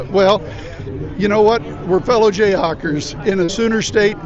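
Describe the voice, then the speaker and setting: Crowd noise runs in the background as a man talks at a fairly quick pace with audible room echo. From Kansas. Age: 60s. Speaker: political candidate. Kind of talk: street interview.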